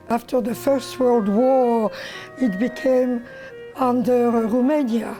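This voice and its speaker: A woman's high voice at a very slow pace with fairly even intonation, over music in the background. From France. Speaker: Holocaust survivor. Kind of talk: oral history testimony.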